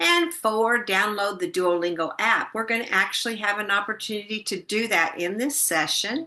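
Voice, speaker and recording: Lively intonation from a woman with an American accent, hardly any pauses, and noticeable background noise. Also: fairly high pitch for a woman, moderate pace. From Missouri. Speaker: retired teacher presenting a workshop. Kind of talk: instructional presentation. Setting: online session with shared screen.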